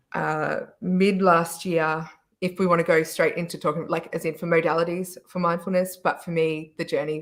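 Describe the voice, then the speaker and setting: This woman has an Australian accent and a fairly low pitch, delivered in a flat monotone. The recording is very clean with a silent background. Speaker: panelist, wellness business owner. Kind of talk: panel discussion.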